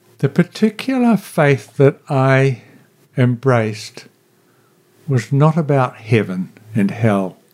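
A man with a New Zealand accent speaks very slowly at a medium pitch, leaving long, frequent pauses. His intonation is lively and his loudness stays very even. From New Zealand, Marlborough. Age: 70s. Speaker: retired chaplain and minister. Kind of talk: casual interview. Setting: radio studio. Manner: halting with hesitations.

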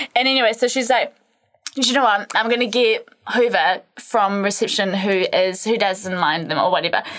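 In a New Zealand accent, a woman talks at a moderate pace with very even loudness. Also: fairly high pitch for a woman, ordinary pitch variation. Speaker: podcast co-host, women's health and fitness. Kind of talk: casual chat. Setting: studio.

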